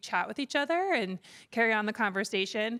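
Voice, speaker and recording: Loud, lively intonation in a bright, sharp tone. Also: woman. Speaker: conference organizer, executive director. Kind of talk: closing remarks at a conference. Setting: conference stage with live audience. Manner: hesitant, many fillers.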